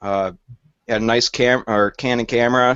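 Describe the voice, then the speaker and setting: A man talks with a Michigan accent. His pitch is medium. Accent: northern US (Michigan). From Michigan, Flint area. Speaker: storm chaser. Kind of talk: casual chat. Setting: video call.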